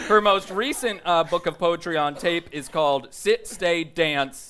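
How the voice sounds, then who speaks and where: An ordinary speaking voice with lively intonation at a fairly slow pace. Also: woman. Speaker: live show host. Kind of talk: casual comedic banter. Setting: stage with audience at a comedy festival.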